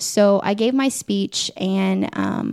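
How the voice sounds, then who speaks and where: A woman with a Midwestern American accent is heard in a dry, close sound with no echo. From Indiana, Muncie. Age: 20s. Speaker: pageant titleholder. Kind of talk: interview.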